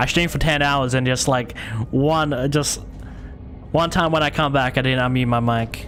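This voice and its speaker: A man at a medium pitch, very even in loudness, with music in the background and audible room echo. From Australia. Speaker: gaming streamer. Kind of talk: live game stream commentary. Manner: fast.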